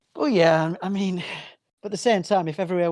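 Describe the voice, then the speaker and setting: Against a quiet background, the speaker talks at a fairly quick pace with a northern English accent. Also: man. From northern England, working-class town. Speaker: band frontman and comedian. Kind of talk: casual chat.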